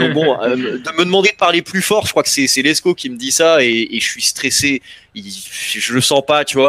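A man with a fairly high pitch talks at a moderate pace in an animated tone, with ordinary pitch variation and a dry sound without echo. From Paris suburbs, Val-d'Oise; Île-de-France, France. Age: 30s. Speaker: battle rapper; interviewee. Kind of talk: interview. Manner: loud. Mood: relaxed storytelling. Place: home room. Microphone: headset.

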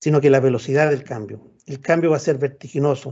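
A man talks at a fairly quick pace while the background stays quiet. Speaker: professor. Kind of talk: lecture. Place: home room. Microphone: video call.

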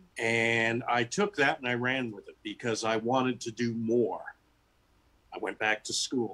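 A man with an American accent speaks at a fairly slow pace, with ordinary pitch variation. His loudness swings widely, and his pauses are long and frequent. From US West Coast. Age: 60s. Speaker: author and teacher; teacher. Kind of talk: interview. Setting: video call. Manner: animated. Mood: warm, reflective. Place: home room. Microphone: video call.

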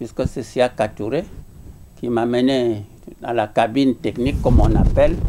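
Light background noise sits under a man's voice. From outside Guinea. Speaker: professor and former political prisoner; witness. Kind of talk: interview testimony. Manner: halting. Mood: grave recollection. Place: home room.

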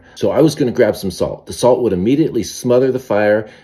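A man's dark, mellow tone at a very fast pace over a quiet background. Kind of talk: casual cooking vlog. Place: kitchen. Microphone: phone near.

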